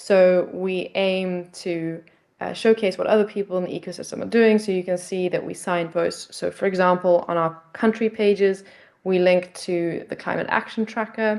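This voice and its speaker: Speaking in a South African accent, a woman holds a moderate pace with a medium pitch and monotone, flat intonation. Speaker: nonprofit project representative. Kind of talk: pitch presentation. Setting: video call. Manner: hesitant, many fillers.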